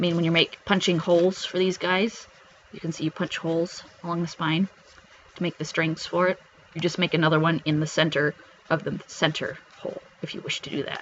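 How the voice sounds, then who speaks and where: Noticeable background noise sits behind a man speaking at a high pitch. He talks at a fairly quick pace with monotone, flat intonation. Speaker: craft YouTuber. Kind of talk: show-and-tell tutorial. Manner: fast; hesitant with many fillers.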